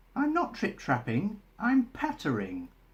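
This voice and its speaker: In a put-on character voice, a man talks at a high pitch and a fairly slow pace. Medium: read story.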